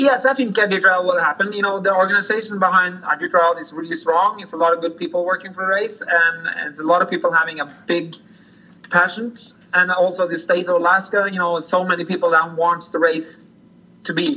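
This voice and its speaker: A high-pitched man with a Norwegian accent at a very fast pace, ordinary pitch variation, music in the background. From Norway. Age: 40s. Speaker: sled dog musher. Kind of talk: interview. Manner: halting.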